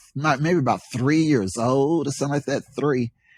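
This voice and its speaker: Very clean recording, silent background. A man with a Southern US accent speaks with ordinary pitch variation. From US South, Charlotte, North Carolina. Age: 60s. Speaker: poet. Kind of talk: interview. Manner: halting.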